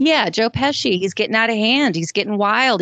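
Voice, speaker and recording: A fairly high-pitched woman in a Southern US accent, lively in intonation and moderate in pace, with a dry, close sound, no echo and a quiet background. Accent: Southern US, mild. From Georgia, US South. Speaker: co-host. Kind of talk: casual chat.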